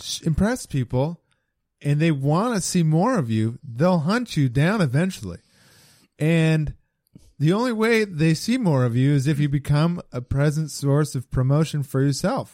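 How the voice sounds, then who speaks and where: This man has an ordinary speaking voice with a fairly high pitch and lively intonation. He talks at a moderate pace. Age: 30s. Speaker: stand-up comedian. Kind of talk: casual chat.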